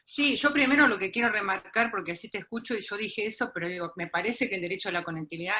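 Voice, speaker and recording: The speaker is a woman. Music sounds in the background. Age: 60s. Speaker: university lecturer in popular education. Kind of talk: panel discussion.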